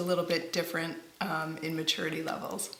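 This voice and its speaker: A woman with an American accent comes through audible room echo and noticeable background noise. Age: 40s. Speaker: parent. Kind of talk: interview.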